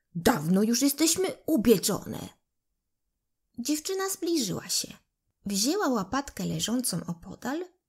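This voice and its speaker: A somewhat breathy woman with a gentle tone, fairly high pitch, very wide pitch swings and a fairly slow pace. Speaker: audiobook narrator. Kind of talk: bedtime fairy tale read aloud to children. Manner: gentle, unhurried storytelling pace; voices characters expressively, like the pleading loaves and apples.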